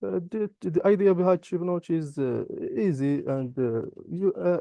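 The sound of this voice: A man with a high-pitched voice talks at a fairly slow pace, his tone dark and mellow, with ordinary pitch variation, vocal fry, and a dry, close sound with no echo.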